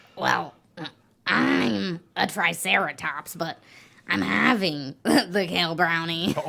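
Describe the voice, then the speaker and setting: Very slowly, a woman uses a raspy put-on character voice with a fairly low pitch. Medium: comedy sketch. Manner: reasonable, exasperated.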